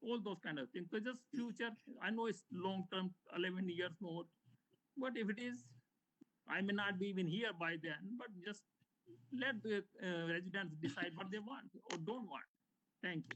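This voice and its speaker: Moderate pace with long, frequent pauses, an Indian accent, and ordinary pitch variation. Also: man, high pitch for a man. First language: Hindi. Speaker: homeowner speaking at public comment. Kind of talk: public comment at board meeting.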